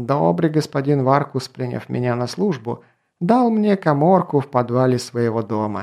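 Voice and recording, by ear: Reading aloud in a natural voice with lively intonation, quiet background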